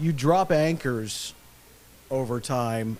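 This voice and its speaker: A man's plain, everyday voice at a medium pitch, with ordinary pitch variation. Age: 60s. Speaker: retired stadium announcer. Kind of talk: casual interview.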